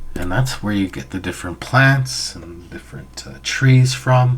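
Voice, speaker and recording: Soft-spoken and fairly slow, a man talks over noticeable background noise. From Canada, Anishinaabe/Ojibway. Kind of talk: storytelling to an audience, educational.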